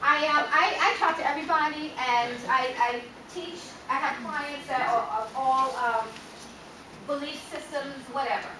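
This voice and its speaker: A woman's raised, projected voice at a high pitch with ordinary variation, amid noticeable background noise and audible room echo. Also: fairly slow pace. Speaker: wellness coach. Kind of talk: keynote talk.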